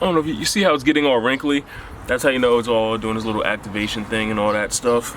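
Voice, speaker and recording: A man talks at a fairly quick pace. Noticeable noise sits in the background. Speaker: sneaker customizer YouTuber. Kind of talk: DIY tutorial. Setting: outdoors. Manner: casual.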